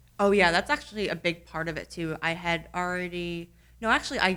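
Delivered at a very fast pace in a New Jersey accent, the voice has a bright, sharp tone and ordinary pitch variation. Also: woman. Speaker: tech podcast host. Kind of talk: casual conversational podcast chat.

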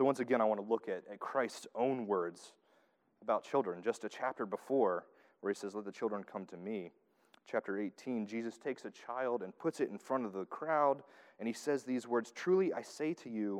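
A man speaks at a medium pitch with lively intonation. The background is quiet. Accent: Southern US. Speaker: preacher. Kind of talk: sermon.

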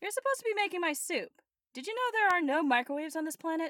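This put-on character voice is squeaky, with an extremely high pitch. The delivery is deadpan and very fast. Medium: audio drama. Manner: deadpan sarcastic.

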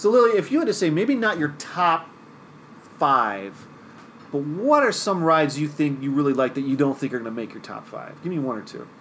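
In an ordinary speaking voice, a man talks fairly quickly at a fairly high pitch, with lively intonation and big swings in loudness. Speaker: podcast host. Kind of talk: casual chat.

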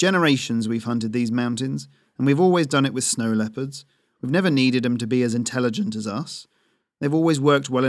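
Over a quiet background, the voice reads in an unforced way.

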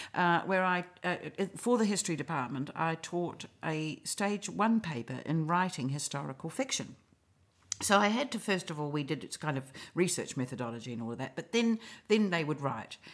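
With a New Zealand accent, a woman speaks at a moderate pace in a fairly low voice that makes very wide pitch swings. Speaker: novelist and playwright. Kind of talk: casual interview chat.

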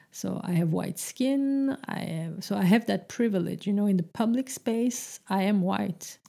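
At a fairly slow pace, a woman talks at medium pitch. Her tone is dark and mellow. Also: very clean recording, silent background. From Francophone Belgium, Turkish family. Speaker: podcaster, translator in the cultural sector. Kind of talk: solo monologue podcast. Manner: hesitant, many fillers and repetitions.

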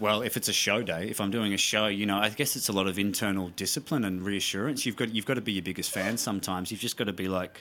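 Talking at a very fast pace with hardly any pauses, a man with an Australian accent uses a fairly low pitch, fairly even intonation and a bright, sharp tone on a very clean recording with a silent background. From South Australia, Mount Gambier. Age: 30s. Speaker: actor. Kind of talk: casual chat.

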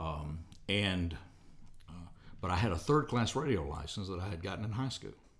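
With a Southern US accent, a man with a very deep, low pitch and a somewhat breathy voice talks at a moderate pace with lively intonation and long, frequent pauses, and audible room echo surrounds him. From US South, Alabama. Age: 60s. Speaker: radio host. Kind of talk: casual interview. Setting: studio.

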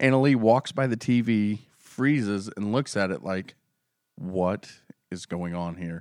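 The man has an ordinary speaking voice, fairly low in pitch. He talks at a fairly slow pace. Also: ordinary pitch variation. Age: 30s. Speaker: podcast co-host. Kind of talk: casual chat.

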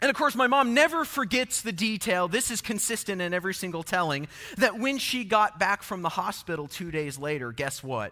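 A man projects his voice at a fairly quick pace, high-pitched and bright with a sharp tone. He barely pauses, and his pitch swings very widely. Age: 30s. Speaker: pastor. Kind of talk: sermon. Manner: casual.

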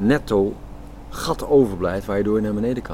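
Pitched fairly low, a man speaks at a moderate pace with noticeable background noise behind him. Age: 60s. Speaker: architect and project initiator. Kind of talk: interview. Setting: outdoors in a garden.

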